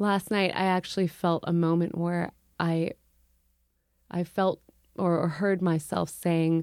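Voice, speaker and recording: A woman with an American accent talks at a very slow pace in a very clean recording with a silent background. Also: dry, close sound with no echo. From US Midwest, Urbana, Illinois. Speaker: musician. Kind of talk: casual chat.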